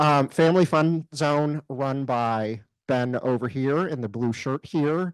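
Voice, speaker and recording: A man in a normal speaking voice with medium pitch and ordinary pitch variation comes through with a dry, close sound with no echo and a quiet background. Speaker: volunteer coordinator. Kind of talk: orientation briefing. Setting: room with live audience.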